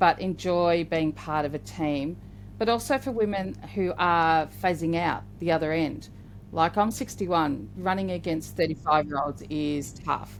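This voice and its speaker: A woman with an Australian accent, a fairly low pitch, lively intonation, and a moderate pace. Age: 60s. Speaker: podcast co-host. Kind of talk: podcast interview.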